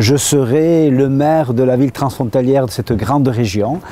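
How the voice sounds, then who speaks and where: A man talks in a normal speaking voice at a medium pitch, with ordinary pitch variation. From French Basque Country. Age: 60s. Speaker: mayor. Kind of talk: interview testimony.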